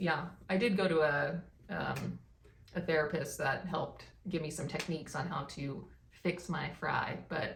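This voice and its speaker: Audible room echo surrounds this woman's voice. Her pitch is fairly low and her pace fairly slow. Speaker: vlogger. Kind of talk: casual chat.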